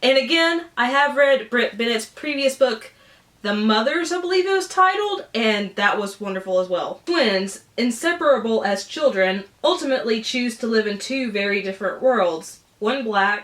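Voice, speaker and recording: A woman with a Southern US accent talks at a moderate pace with hardly any pauses, over noticeable background noise. Her pitch is fairly high and swings very widely. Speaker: book YouTuber. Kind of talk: casual unboxing vlog. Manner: animated.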